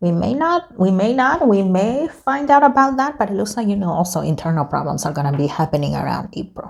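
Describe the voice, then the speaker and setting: A woman's voice at a medium pitch, fairly quick pace and very wide pitch swings. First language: not English. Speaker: tarot reader YouTuber. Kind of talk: casual tarot reading monologue. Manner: casual, hesitant with self-corrections.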